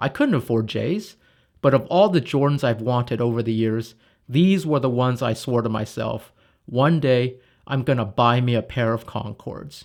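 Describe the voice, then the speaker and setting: With a normal speaking voice, a man talks at medium pitch and a moderate pace with ordinary pitch variation. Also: very clean recording, silent background. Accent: American. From US West Coast, Los Angeles. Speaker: product manager, YouTuber. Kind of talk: scripted narration.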